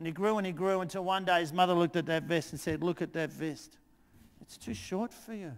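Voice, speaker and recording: This man has a high voice and an animated tone, with ordinary pitch variation. His loudness swings widely, and the recording is very clean with a silent background. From Australia, outer Melbourne. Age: 60s. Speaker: teacher and presenter. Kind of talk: storytelling; conference talk. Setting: conference stage with audience.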